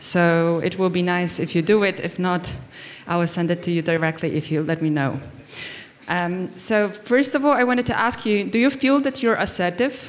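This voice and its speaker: A woman with a non-native accent, fairly low pitch, lively intonation and a moderate pace, with noticeable background noise. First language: not English. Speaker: conference speaker. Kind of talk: conference talk. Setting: stage with audience. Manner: halting.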